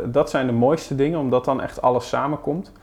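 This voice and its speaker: A man with a fairly high pitch, a normal speaking voice and a fairly quick pace. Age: 30s. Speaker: digital marketing specialist. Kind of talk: podcast interview.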